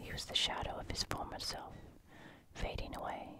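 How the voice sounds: A croaky whisper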